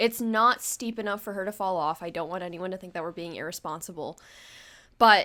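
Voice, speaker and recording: A woman of medium pitch, animated and bright with a sharp tone, ordinary pitch variation, on a very clean recording with a silent background. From United States. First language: not English. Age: 20s. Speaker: podcast host. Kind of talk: casual chat.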